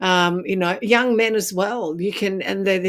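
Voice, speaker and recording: Using fairly even intonation, the speaker talks at a fairly slow pace with an Australian accent. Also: woman. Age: 60s. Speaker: makeup artist and speaker. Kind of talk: interview.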